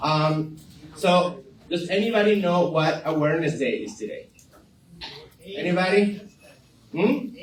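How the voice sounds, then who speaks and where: A high-pitched man with a Venezuelan accent at a fairly slow pace, with lively intonation and long, frequent pauses, plus noticeable background noise and audible room echo. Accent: non-native, Venezuelan-tinged. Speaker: community center staff, event presenter. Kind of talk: community announcements. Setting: live group gathering in a room. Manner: hesitant, many fillers.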